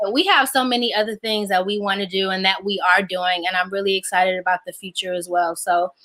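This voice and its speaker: A woman talks at a very fast pace with hardly any pauses. Background noise is noticeable. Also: medium pitch for a woman, fairly even intonation. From Detroit, US. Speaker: actress. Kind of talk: casual chat.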